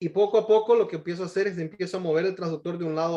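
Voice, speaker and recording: A man speaks in a high voice for a man, with fairly even intonation. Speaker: pediatric cardiologist. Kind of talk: medical webinar Q&A. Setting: video call. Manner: halting, many repetitions.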